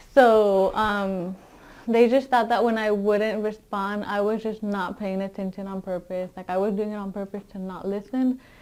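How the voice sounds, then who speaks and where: A woman with a Spanish accent speaks at a moderate pace in a medium pitch, with monotone, flat intonation and big swings in loudness. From Mexico, raised in US from age six. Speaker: education student, former English learner. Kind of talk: interview. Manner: hesitant, many fillers.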